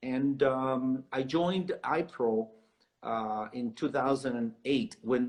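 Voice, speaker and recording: The man's pitch sits in the medium range. His pace is very slow. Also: ordinary pitch variation. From South America. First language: Spanish. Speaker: realtor. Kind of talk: interview.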